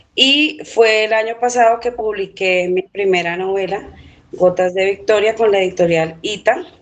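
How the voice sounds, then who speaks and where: A woman with a normal speaking voice talks at a fairly slow pace, her medium pitch showing ordinary variation. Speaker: novelist and teacher. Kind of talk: interview.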